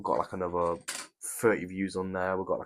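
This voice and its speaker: A man with an English accent. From England. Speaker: YouTuber building brick sets. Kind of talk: live stream chat while building. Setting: live stream. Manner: casual, chatty.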